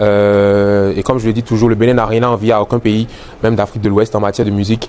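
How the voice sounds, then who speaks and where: With a Beninese accent, a man speaks at a fairly quick pace and fairly low pitch in monotone, flat intonation over noticeable background noise. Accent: Beninese accent, kept. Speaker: musician. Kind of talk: interview. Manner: hesitant, many fillers and repetitions.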